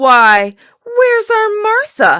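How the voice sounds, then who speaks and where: An extremely high-pitched, squeaky voice, put on as a character. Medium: read story. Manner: gentle, affectionate.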